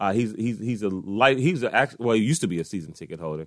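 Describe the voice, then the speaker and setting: With a quiet background, a man with an American accent talks at a very fast pace and medium pitch. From Washington, D.C. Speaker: sports podcast host. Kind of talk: casual solo sports commentary. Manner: conversational, frequent fillers.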